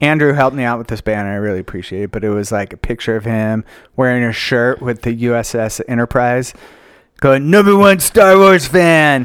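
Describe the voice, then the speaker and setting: This man has a plain, everyday voice, medium in pitch, with lively intonation and a fairly quick pace. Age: 50s. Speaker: podcast co-host. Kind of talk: casual chat.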